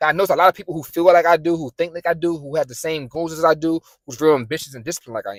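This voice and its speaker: With a New York accent, this voice rushes along at a very fast pace in a passionate tone. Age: 20s. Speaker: motivational YouTuber. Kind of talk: motivational talk to camera. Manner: passionate, some stuttering.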